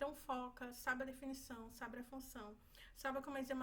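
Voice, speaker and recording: A woman with a high pitch talks at a fairly quick pace in monotone, flat intonation, with audible room echo. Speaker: medical student. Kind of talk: exam review tutorial. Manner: fast.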